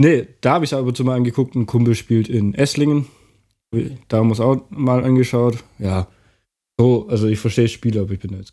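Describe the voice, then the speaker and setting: A man with a dark, mellow tone talks at a fairly quick pace and medium pitch. His intonation stays fairly even while his loudness swings widely. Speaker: podcast co-host. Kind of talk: casual chat. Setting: living room, in person.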